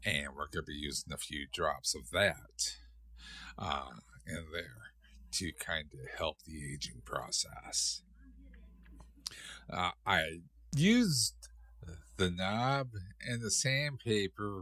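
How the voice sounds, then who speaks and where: Very slow and full of long, frequent pauses, a man's very deep, low voice carries a bright, sharp tone, vocal fry and very wide pitch swings. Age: 60s. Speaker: guitar hobbyist YouTuber. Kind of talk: tutorial. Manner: halting, many fillers; casual.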